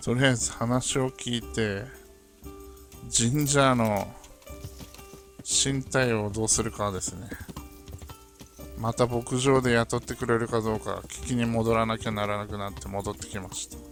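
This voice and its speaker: With music playing behind him, a man talks with ordinary pitch variation and long, frequent pauses. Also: medium pitch for a man, moderate pace. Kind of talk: casual gameplay commentary. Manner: regional dialect.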